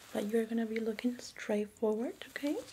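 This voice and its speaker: Soft-spoken and gentle in tone, the voice moves at a moderate pace over light background noise. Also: woman. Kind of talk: soft-spoken role-play exam talk to viewer. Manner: soft-spoken, gentle ASMR doctor voice. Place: home room.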